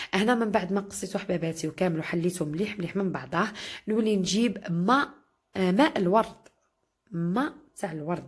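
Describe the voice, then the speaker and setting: A woman with a somewhat breathy, medium-pitched voice speaks at a moderate pace with ordinary pitch variation. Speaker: cooking vlogger. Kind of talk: cooking tutorial. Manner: chatty, addresses viewers warmly.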